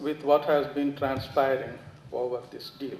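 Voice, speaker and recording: A man's voice carries audible room echo. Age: 80s+. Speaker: audience member asking questions. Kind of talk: Q&A after a lecture. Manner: formal.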